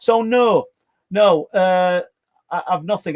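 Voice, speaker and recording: The recording of this man with a Yorkshire accent is very clean, with a silent background and a dry, close sound with no echo. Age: 60s. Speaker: paranormal podcast co-host and claimed abductee. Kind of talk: casual podcast chat. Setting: live stream with chat. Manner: halting, repeats words.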